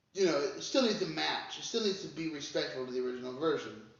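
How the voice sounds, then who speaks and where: Lively intonation runs through the speech, with audible room echo. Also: man. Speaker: music reaction youtuber. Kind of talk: casual commentary. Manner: halting, many fillers.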